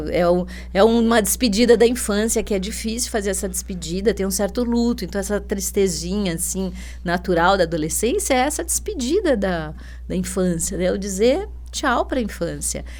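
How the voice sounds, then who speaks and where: A woman talks at a moderate pace, and audible room echo hangs around her voice. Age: 60s. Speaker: educator, school director. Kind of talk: podcast interview. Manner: hesitant, many fillers.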